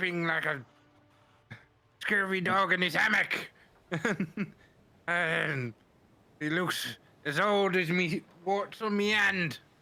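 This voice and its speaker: A put-on character voice in a West Country accent, middle in pitch, at a very slow pace with long, frequent pauses. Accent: West Country, exaggerated. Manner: comic, over the top.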